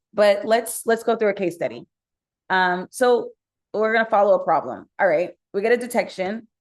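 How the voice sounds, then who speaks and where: Against a quiet background, a woman talks at a medium pitch with ordinary pitch variation. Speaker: startup co-founder and CEO. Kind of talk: webinar presentation. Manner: fast.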